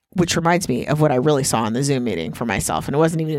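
Vocal fry marks this woman's voice in a very clean recording with a silent background. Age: 50s. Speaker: podcast co-host. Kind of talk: casual chat.

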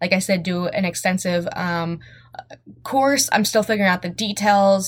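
A woman at medium pitch, somewhat breathy, with fairly even intonation and a moderate pace, on a very clean recording with a silent background. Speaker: podcast host, realtor and aspiring life coach. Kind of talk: solo podcast monologue, motivational.

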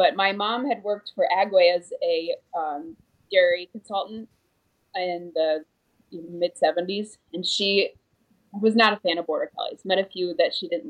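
Speaking in an American accent, the voice moves at a fairly slow pace with ordinary pitch variation. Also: woman, medium pitch for a woman. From upstate New York. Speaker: dairy farmer and dog breeder. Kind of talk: casual interview. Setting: video call from home training room.

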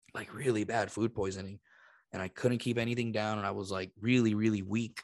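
A very fast, monotone, flat man's voice, fairly low in pitch, with a Spanish accent, over a quiet background. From Puerto Rico. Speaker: podcast host, interpreter and comedian. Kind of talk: casual chat.

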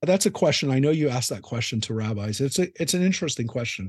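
Against a quiet background, a man with a Californian accent speaks at a very fast pace. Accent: Californian American. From Southern California. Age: 50s. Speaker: rabbi. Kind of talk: interview conversation.

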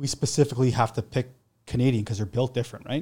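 Somewhat breathy male speech with a dark, mellow tone, medium pitch and fairly even intonation, on a very clean recording with a silent background. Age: 40s. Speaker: electrician and generator installer. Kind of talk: casual chat.

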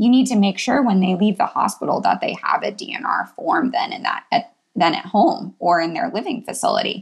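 This woman talks at a fairly quick pace with a medium pitch, lively intonation and a somewhat breathy sound. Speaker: emergency physician. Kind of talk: casual interview chat.

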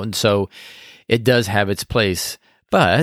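A man speaks in a plain, everyday voice at a fairly low pitch and fairly slow pace, with fairly even intonation. The sound is dry and close with no echo, on a very clean recording with a silent background. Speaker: podcast co-host.

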